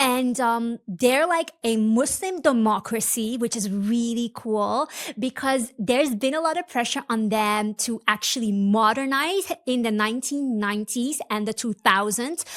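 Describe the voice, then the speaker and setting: A woman with a fairly high pitch speaks fairly slowly in an animated tone, her pitch varying in an ordinary way. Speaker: podcast host. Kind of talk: casual educational podcast monologue.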